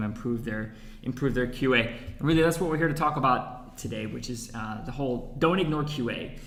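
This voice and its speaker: Very fast pace from a man, amid noticeable background noise and audible room echo. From United States. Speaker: head of research and marketing, webinar host. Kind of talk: webinar presentation. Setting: echoey room.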